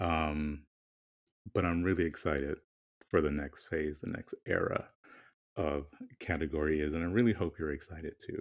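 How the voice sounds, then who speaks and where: A man speaks at a moderate pace in a husky, very deep, low voice, with fairly even intonation and long, frequent pauses. The background is quiet. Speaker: podcast co-host. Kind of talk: casual chat.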